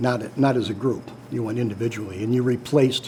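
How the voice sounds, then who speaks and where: A man with an American accent, at a medium pitch, talks through noticeable background noise. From Chicago area, Illinois. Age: 70s. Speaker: war veteran. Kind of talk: interview. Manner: halting, many fillers.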